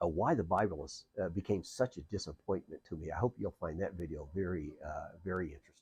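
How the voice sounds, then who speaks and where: Very fast speech in a dark, mellow tone comes out somewhat breathy. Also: man. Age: 60s. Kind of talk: casual monologue vlog. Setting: outdoors on a porch. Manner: hesitant, many fillers.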